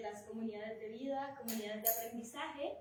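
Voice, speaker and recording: With audible room echo, a woman talks at a moderate pace in a high pitch with ordinary pitch variation. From Colombia. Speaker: moderator. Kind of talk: event moderation.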